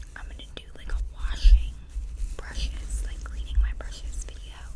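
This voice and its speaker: Whispering and soft-spoken, a woman talks over noticeable background noise. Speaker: ASMR creator. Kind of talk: casual talk to camera, ASMR makeup brush review. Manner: soft-spoken, whispered.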